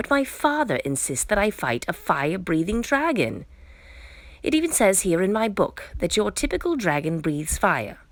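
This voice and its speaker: Using a put-on character voice, a woman sounds squeaky at a medium pitch. Her pitch swings very widely as she speaks at a moderate pace. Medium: read story. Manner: stammering when scared.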